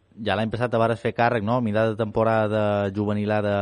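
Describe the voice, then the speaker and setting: A man with a Mallorcan accent, in a dry, close sound with no echo. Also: quiet background. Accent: Mallorcan Catalan. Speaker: sports radio host. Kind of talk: radio interview.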